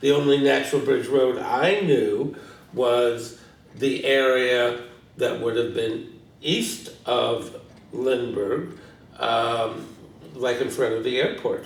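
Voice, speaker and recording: A man with an American accent speaks at a very slow pace. Long, frequent pauses and audible room echo mark the recording. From US Midwest, St. Louis, Missouri. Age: 60s. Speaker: retired teacher, longtime resident. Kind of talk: oral history interview. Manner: hesitant, many fillers.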